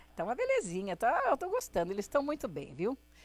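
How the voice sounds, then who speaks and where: A woman's voice with very wide pitch swings and a fairly quick pace, dry and close with no echo. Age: 70s. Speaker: singer. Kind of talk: interview, casual storytelling.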